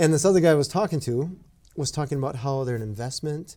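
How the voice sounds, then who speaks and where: On a very clean recording with a silent background, a man speaks at a fairly high pitch with a dark, mellow tone and ordinary pitch variation. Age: 40s. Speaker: podcast co-host. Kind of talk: casual chat.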